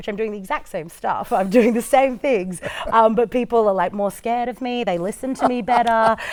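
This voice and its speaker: Over music in the background, a woman talks at a fairly quick pace with a fairly high pitch. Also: ordinary pitch variation. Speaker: cabaret performer and singer. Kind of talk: interview answer. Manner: energetic.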